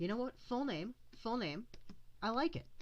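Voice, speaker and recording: A woman talks at a moderate pace. Vocal fry runs through her voice. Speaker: art livestreamer. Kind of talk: casual livestream chat while drawing. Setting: livestream.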